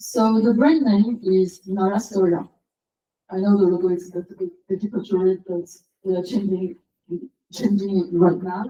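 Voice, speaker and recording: A woman speaks at a medium pitch, with a dark, mellow, somewhat breathy tone. Her intonation is fairly even, broken by long, frequent pauses. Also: moderate pace. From France, Paris. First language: French. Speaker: SEO consultant and conference speaker. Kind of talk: conference talk.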